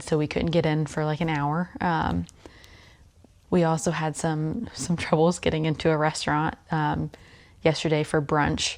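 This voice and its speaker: A soft-spoken woman talks with a very deep, low pitch. Her intonation stays fairly even. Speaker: knitting YouTuber. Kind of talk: casual chat. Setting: indoors at a rental home. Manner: filler-heavy, um and like.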